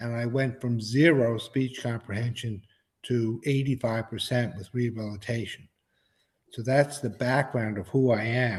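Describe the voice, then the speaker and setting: Somewhat breathy and with an American accent, this voice moves at a moderate pace with fairly even intonation. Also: man, medium pitch for a man. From New York. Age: 70s. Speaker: hearing loss advocate. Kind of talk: interview.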